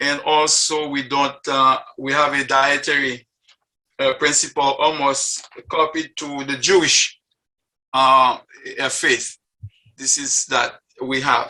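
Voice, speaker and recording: Pausing long and often, a man speaks very slowly in a flat monotone, his fairly high voice bright and sharp. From Haiti. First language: French. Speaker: interfaith group member sharing faith story. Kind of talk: personal testimony talk. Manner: halting, with many fillers.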